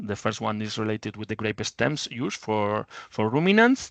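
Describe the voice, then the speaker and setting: In a plain, everyday voice, a man speaks at a medium pitch and a moderate pace. The sound is dry and close with no echo, over a quiet background. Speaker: researcher presenting projects. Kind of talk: webinar presentation. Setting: online webinar.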